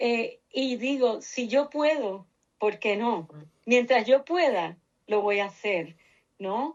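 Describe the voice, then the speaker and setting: A woman's fairly high pitch at a very slow pace, with lively intonation. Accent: Puerto Rican. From Puerto Rico, Cuban family. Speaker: researcher, nonprofit director. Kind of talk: interview.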